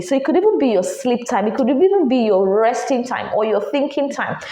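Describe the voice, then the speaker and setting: An animated voice moves at a fairly quick pace with very wide pitch swings, heard with audible room echo and noticeable background noise. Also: woman. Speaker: podcast host. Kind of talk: advice monologue.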